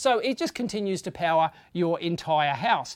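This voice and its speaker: A woman with an Australian accent and very wide pitch swings. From Australia, Sydney. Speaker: tech YouTuber. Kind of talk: tutorial. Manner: casual, with fillers.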